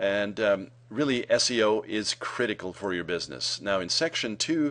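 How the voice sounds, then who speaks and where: Against a quiet background, a man speaks at a fairly low pitch with lively intonation. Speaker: marketing consultant. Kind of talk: tutorial. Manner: fast; hesitant, many fillers.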